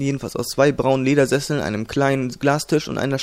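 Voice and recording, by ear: Someone reads aloud, using a natural voice.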